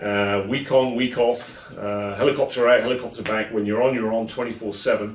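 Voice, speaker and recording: A man with an English accent, medium pitch, monotone flat intonation, a fairly quick pace and hardly any pauses, amid noticeable background noise and audible room echo. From England. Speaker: keynote speaker and consultant. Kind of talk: promotional video message to event attendees. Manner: hesitant, many filler sounds.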